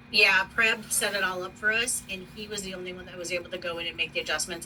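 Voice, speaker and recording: A woman's medium-pitched voice with an American accent, fairly quick, over noticeable background noise. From US East Coast. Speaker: university operations manager. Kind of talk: work meeting. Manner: fast.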